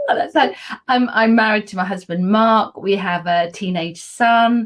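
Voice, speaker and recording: A woman speaks in an animated tone at a moderate pace and fairly high pitch, with ordinary pitch variation. Noticeable background noise can be heard. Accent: southern English. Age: 60s. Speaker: PR consultant and wellbeing advocate. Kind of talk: casual interview chat.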